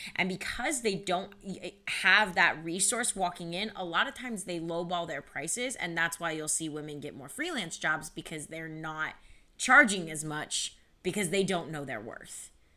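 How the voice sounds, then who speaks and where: A woman's bright, sharp tone with lively intonation, big swings in loudness, and a moderate pace. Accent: American. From Ohio, Cleveland area. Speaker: nonprofit founder in music industry. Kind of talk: interview.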